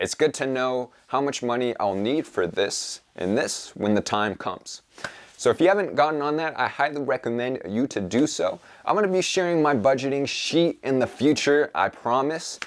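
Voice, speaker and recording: Using a normal speaking voice, a man talks at a moderate pace with fairly high pitch and lively intonation. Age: young. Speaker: podcast host and self-publishing entrepreneur. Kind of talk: solo vlog update. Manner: casual, upbeat.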